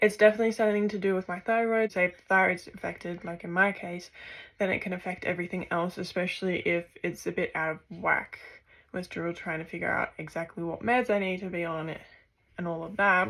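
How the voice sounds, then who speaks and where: A woman with an Australian accent speaks at a fairly quick pace in a medium pitch, her intonation fairly even. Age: 20s. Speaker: vlogger and university student. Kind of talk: casual vlog introduction. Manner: hesitant, frequent fillers.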